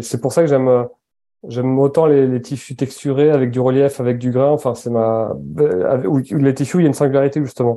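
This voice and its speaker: Fairly even intonation at a fairly quick pace. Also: man. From French Basque Country. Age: 30s. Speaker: entrepreneur, founder of a clothing brand. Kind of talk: interview conversation. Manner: halting, with many repetitions.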